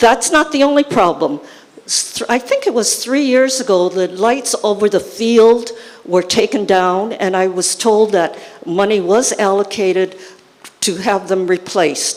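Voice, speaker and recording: Over noticeable background noise, a woman speaks fairly slowly with ordinary pitch variation. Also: fairly high pitch for a woman. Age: 80s+. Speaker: resident asking a question. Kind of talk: public complaint at town hall. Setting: school town hall meeting with audience.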